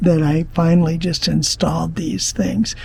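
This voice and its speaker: A man's dark, mellow tone, somewhat breathy. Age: 60s. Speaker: RV travel vlogger. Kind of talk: casual vlog narration. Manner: conversational.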